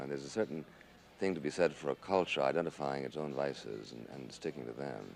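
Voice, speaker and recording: A man talks in a very deep, low pitch with vocal fry. His pace is fairly quick and his intonation lively. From New York City. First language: Spanish. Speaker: conservative writer and political commentator. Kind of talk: interview answer.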